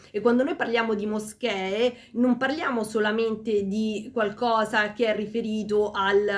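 Against noticeable background noise, a woman speaks slowly-ish at a fairly slow pace, her fairly high pitch held in a monotone, flat intonation. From Rome, Italy (Peruvian-born, arrived as a child). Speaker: teacher and languages graduate. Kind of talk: interview. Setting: ice cream shop.

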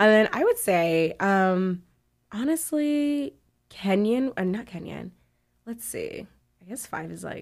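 Fairly slow with long, frequent pauses, this woman's fairly high voice, carrying an American accent, shows very wide pitch swings and big swings in loudness. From Texas and Ghana. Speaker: African food content creator. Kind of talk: casual chat.

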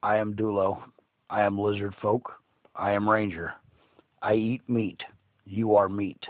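In a put-on character voice, a man speaks with a menacing tone at a fairly low pitch, leaving long, frequent pauses. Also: moderate pace. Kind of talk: broken-speech monster voice. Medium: actual play. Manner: flat, blunt, menacing in a comic way.

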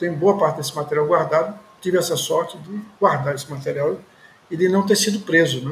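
Amid noticeable background noise, a man speaks at a fairly quick pace with a high pitch. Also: ordinary pitch variation. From Recife, Pernambuco, Brazil. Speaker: journalist and party activist. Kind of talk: interview testimony. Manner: hesitant fillers.

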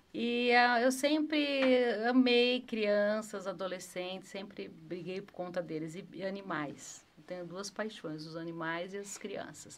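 A woman with a medium pitch speaks at a very slow pace with hardly any pauses, lively intonation and big swings in loudness, amid audible room echo. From Brazil, Campinas (Sousas). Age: 50s. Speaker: city councillor, former PE teacher. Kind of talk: interview chat.

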